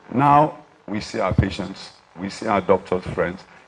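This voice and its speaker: There is noticeable background noise. A man with a fairly low pitch talks with ordinary pitch variation. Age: 70s. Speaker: doctor. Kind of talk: speech at an award dinner.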